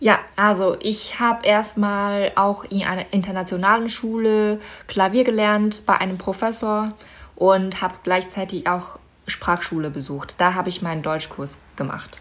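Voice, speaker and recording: Here a woman speaks at a fairly slow pace. Her pitch is medium. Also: ordinary pitch variation. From China, Inner Mongolia (Baotou). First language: Mandarin Chinese (speaking German). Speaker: model and concert pianist. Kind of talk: interview.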